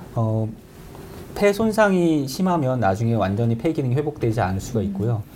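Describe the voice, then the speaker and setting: A man speaks at a moderate pace and a medium pitch, his pitch swinging very widely over noticeable background noise. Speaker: infectious disease professor. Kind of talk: expert Q&A interview. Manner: hesitant, measured.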